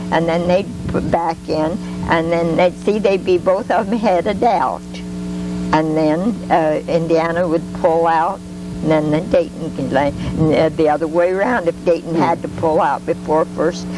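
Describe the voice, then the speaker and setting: A woman at a fairly slow pace, her loudness very even, amid noticeable background noise. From Union City. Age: 80s+. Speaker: local resident recalling town history. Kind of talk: interview answer. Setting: outdoors.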